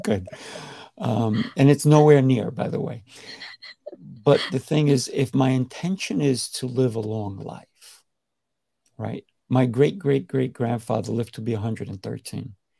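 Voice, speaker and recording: This man speaks at medium pitch with a dark, mellow tone and vocal fry, his intonation lively, his pace fairly slow, and his pauses long and frequent. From Colombia. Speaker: podcast host and martial arts instructor. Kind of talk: podcast interview.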